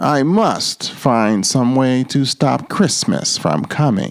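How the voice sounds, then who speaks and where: Growling in a put-on character voice, a man speaks very slowly at a medium pitch. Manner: growling, sneering.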